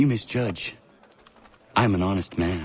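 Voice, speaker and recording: A man uses a put-on character voice pitched fairly low. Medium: video game. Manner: terse, serious.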